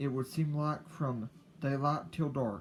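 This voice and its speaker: A somewhat breathy man's voice at a medium pitch. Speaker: YouTuber. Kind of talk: casual personal talk to camera. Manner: slow; halting, repeats words.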